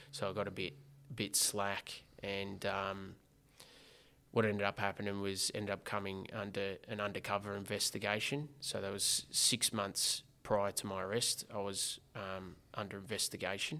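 A man with an Australian accent, a bright, sharp tone, fairly even intonation, and a fairly low pitch. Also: moderate pace. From Geelong, Victoria, Australia. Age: 20s. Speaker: former prisoner and social entrepreneur. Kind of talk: personal testimony in interview.

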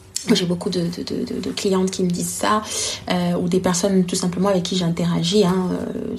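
A woman speaks at a moderate pace with a fairly low pitch and fairly even intonation. Audible room echo and noticeable background noise surround her voice. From Congo. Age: 20s. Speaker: storytelling consultant and entrepreneur. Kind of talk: interview. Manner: hesitant, many fillers.

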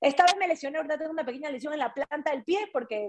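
A woman is speaking. Her intonation is lively. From coastal Ecuador, Guayaquil. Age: 40s. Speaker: former TV presenter, triathlete. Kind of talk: casual interview.

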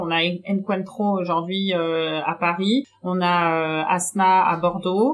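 Noticeable noise in the background beneath fairly level intonation. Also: woman. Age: 30s. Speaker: chocolate maker and shop co-founder. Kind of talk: interview. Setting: in her chocolate workshop. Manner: hesitant, many fillers.

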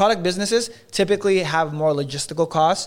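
A man talks with an American accent in a plain, everyday voice. His pitch varies in an ordinary way. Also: very clean recording, silent background. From Los Angeles area. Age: 20s. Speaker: entrepreneur. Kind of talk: casual chat.

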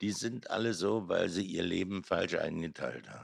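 Recorded very cleanly against a silent background, a man with a Berlin accent speaks at a fairly low pitch. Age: 70s. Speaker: artist. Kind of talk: casual chat.

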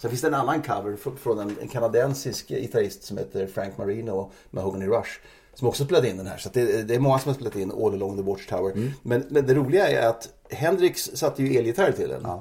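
Speaking at a fairly quick pace, a man uses lively intonation at a medium pitch. His voice is somewhat breathy. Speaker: music journalist. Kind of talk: casual chat. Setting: at guest's home.

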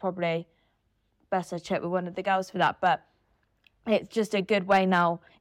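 A woman speaks at a medium pitch with monotone, flat intonation, big swings in loudness and long, frequent pauses. Her pace is moderate, and the sound is dry and close with no echo. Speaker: law student and volunteer chapter leader. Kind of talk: interview, casual.

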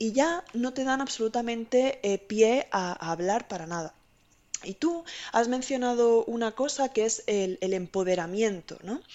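Speaking at a fairly slow pace, a woman with a Spanish accent has a fairly high pitch and lively intonation. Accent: Spanish (Spain). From Spain. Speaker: IT consultant. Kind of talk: casual interview.

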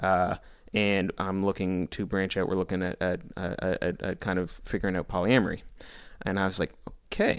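At a moderate pace, the speaker uses a Maritime Canadian accent and a monotone, flat intonation, captured on a very clean recording with a silent background. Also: man, very deep, low pitch for a man. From Prince Edward Island, Canada. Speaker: podcast guest. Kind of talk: casual chat. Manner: talkative.

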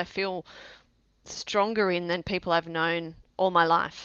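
With an Australian accent, a woman speaks fairly slowly in a bright, sharp tone at a fairly low pitch. Her intonation stays fairly even against a quiet background. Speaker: sobriety coach. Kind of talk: casual interview chat.

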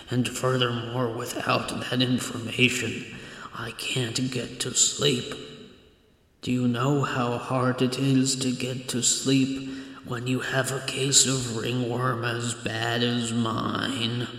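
In a put-on character voice, a man speaks very slowly at a medium pitch, his delivery monotone and flat against a clear echo. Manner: mumbling, then grumbling and aggrieved.

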